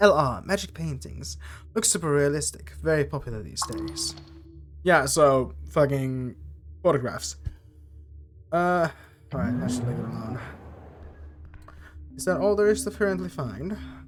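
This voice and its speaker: With music in the background, a man of medium pitch makes very wide pitch swings and big swings in loudness, leaving long, frequent pauses. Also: moderate pace. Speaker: vtuber gamer. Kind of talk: let's play commentary reading game text aloud. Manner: casual, halting with frequent fillers.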